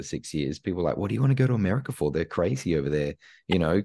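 A man with an Australian accent speaks at a very deep, low pitch in a dark, mellow tone with vocal fry and very wide pitch swings, against a quiet background. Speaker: imposter syndrome coach and speaker. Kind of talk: casual interview chat. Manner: animated.

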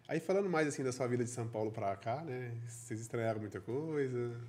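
At a fairly quick pace, a man speaks in a normal speaking voice, medium in pitch with ordinary variation. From Caldas Novas area, Goiás, Brazil. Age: 30s. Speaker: podcast host. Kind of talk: podcast interview.

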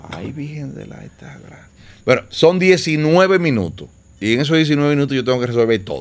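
Speaking at a moderate pace with a Dominican Cibao accent, a man uses a fairly high pitch, lively intonation and big swings in loudness. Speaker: DJ. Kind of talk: casual chat.

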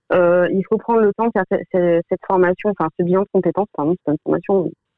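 A woman at medium pitch, fairly even in intonation, at a moderate pace. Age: 30s. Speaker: medical secretary. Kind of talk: testimony. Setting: radio studio. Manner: halting.

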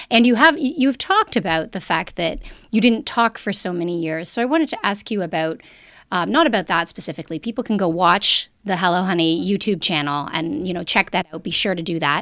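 A woman's plain, everyday voice at a medium pitch, fairly quick and lively in intonation, on a very clean recording with a silent background. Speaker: podcast host, sex and relationship expert. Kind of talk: casual chat.

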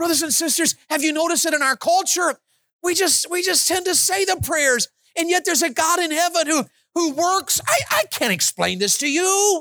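A man with an extremely high pitch speaks in a raised, projected voice at a moderate pace, his loudness very even and his pitch variation ordinary. His tone is animated, bright and sharp, and the sound is dry and close with no echo. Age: 50s. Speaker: evangelist. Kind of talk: sermon.

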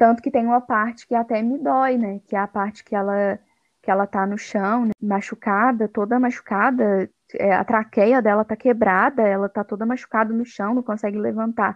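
This woman has an ordinary speaking voice, fairly high in pitch, and talks at a moderate speed. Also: fairly even intonation. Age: 20s. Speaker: podcast co-host. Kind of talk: casual chat.

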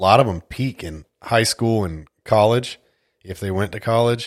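The man's fairly low voice comes through dry and close, with no echo. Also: very clean recording, silent background. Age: 40s. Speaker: podcast host and fugitive recovery agent. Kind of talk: casual chat.

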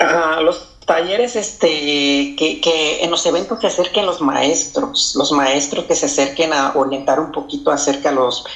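A man talks at a moderate pace and a fairly high pitch. Noticeable background noise sits behind him. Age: 40s. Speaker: community activist. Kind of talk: interview. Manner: halting.

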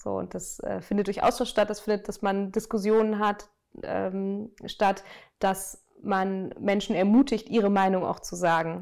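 A woman speaks in a normal speaking voice at medium pitch. Her pace is fairly slow and her intonation fairly even. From Germany, Münster (North Rhine-Westphalia). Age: 30s. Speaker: sustainability professional. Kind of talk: interview. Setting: outdoors.

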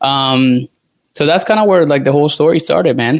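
A man with a Spanish accent at a moderate pace. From Venezuela. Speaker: dietitian. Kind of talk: casual chat. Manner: halting.

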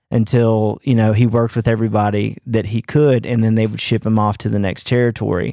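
A man's fairly quick, flat monotone in a Mississippi accent, medium in pitch, dark and mellow in tone, with a dry, close, echo-free sound on a very clean recording over a silent background. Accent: Mississippi Southern US. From US South, Clinton near Jackson, Mississippi. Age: 30s. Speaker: touring guitarist. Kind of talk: casual chat.

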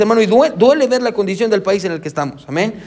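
A man talks at a very fast pace with lively intonation. Room echo is audible. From Guatemala. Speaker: pastor. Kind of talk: sermon. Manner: halting.

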